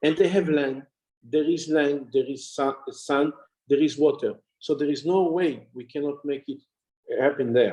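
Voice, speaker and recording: Speaking in an Israeli accent, a man with a fairly high pitch and a dark, mellow tone talks at a fairly slow pace with fairly even intonation. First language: Hebrew. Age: 60s. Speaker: honorary consul and farming businessman. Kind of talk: interview.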